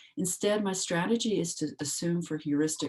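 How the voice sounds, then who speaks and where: A soft-spoken woman at a moderate pace against a quiet background. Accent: American. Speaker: philosopher presenting a paper. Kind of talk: academic paper reading. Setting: video call.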